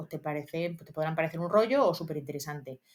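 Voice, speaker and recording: Her pitch moves with ordinary variation as the woman talks. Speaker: history teacher and exam-prep youtuber. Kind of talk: study tutorial. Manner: fast; casual, many fillers.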